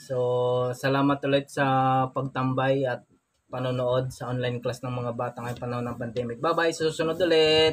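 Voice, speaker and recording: A man with a medium pitch and a somewhat breathy voice speaks at a moderate pace with fairly even intonation, with light background noise behind him. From Philippines. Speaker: family vlogger. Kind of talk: vlog narration. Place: home room. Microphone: phone near.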